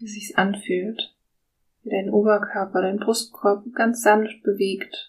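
At a very slow pace, a woman with a medium pitch speaks in a somewhat breathy voice with monotone, flat intonation and a calm, soothing tone. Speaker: podcast host and guided meditation leader. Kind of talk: guided meditation. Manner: slow, soft-spoken, calm and soothing with long pauses.

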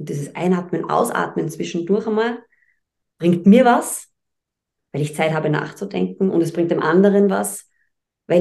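A woman with a fairly low pitch and vocal fry talks at a moderate pace with ordinary pitch variation, leaving long, frequent pauses. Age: 40s. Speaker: presenter and speech trainer. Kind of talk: podcast interview.

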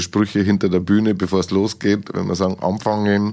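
Speech comes quite quickly. Its tone is dark and mellow. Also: man. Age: 50s. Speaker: podcast host and entertainer. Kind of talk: interview. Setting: studio.

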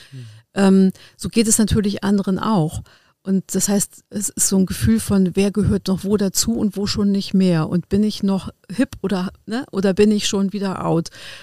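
In a very clean recording with a silent background and a dry, close sound with no echo, a woman speaks at a medium pitch and moderate pace in a dark, mellow tone with ordinary pitch variation. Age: 50s. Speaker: legal guardian and adult educator. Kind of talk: casual chat. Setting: studio. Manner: halting, many fillers.

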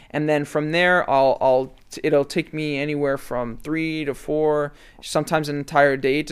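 On a very clean recording with a silent background, a man with a plain, everyday voice speaks at a fairly high pitch with fairly even intonation. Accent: Canadian. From Canada, Toronto area (Mississauga). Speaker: sneaker and fashion content creator. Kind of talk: casual interview chat.

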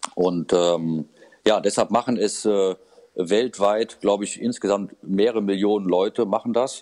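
A man speaks with a dark, mellow tone at a fairly low pitch. His intonation is fairly even, and the sound is dry and close with no echo. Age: 50s. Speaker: fee-only financial adviser. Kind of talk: interview. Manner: hesitant, many fillers.

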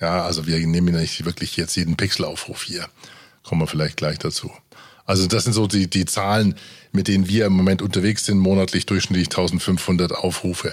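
Fairly quick and monotone, a man speaks with a very deep, low pitch and flat intonation. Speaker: podcast host and producer. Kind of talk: casual chat. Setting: studio.

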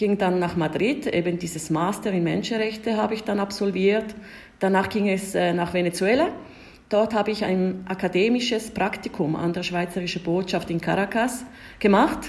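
A woman with an Italian Swiss accent at a moderate pace, with ordinary pitch variation. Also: medium pitch for a woman. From Switzerland, Ticino (Italian-speaking). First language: Italian (speaking German). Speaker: diplomat. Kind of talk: interview. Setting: remote call.

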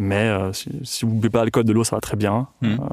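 A man at medium pitch, fairly even intonation and a fairly quick pace. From Tuscany, Italy. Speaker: cheesemaker. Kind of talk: interview. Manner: halting.

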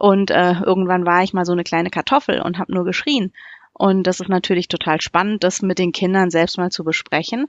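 A woman with a fairly low pitch talks at a moderate pace in a calm tone. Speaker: primary school teacher. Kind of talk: casual interview.

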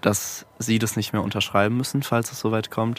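A man speaks in a fairly low voice. His intonation is monotone and flat. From Mannheim, Germany. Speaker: musician. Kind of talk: casual chat.

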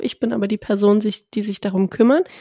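Dry and close with no echo, a woman with a normal speaking voice talks at a fairly quick pace and a fairly high pitch. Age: 20s. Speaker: podcast co-host. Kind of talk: casual chat.

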